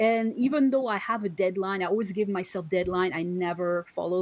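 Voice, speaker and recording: A woman speaks with a French accent. Her pitch is medium. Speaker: photographer and entrepreneur, blogger. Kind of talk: interview. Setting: video call. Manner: halting, many fillers and repeats.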